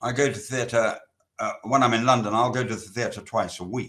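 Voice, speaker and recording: Fairly slow speech from a man at a medium pitch, bright and sharp in tone, with a British accent. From England. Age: 80s+. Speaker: novelist. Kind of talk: interview. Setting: literary festival talk.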